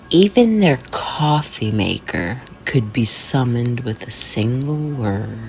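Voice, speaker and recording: A woman's very deep, low voice with lively intonation at a very slow pace, music in the background. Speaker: horror narrator. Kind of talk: horror sleep story. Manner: whispered.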